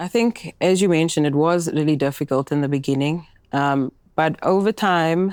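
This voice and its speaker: A woman's very deep, low voice in a Cape Town accent, with ordinary pitch variation at a moderate pace, in a very clean recording with a silent background and a dry, close sound with no echo. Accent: Cape Town accent, kept. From South Africa, Cape Town. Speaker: banking executive. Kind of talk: panel discussion.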